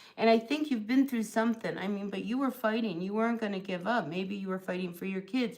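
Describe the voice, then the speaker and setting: A woman with a New Jersey accent talks at a very fast pace in a medium pitch, her loudness swinging widely, her pitch varying in an ordinary way, and she barely pauses. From US Northeast, New Jersey. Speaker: tarot reader. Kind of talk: live tarot reading stream. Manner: casual, chatty.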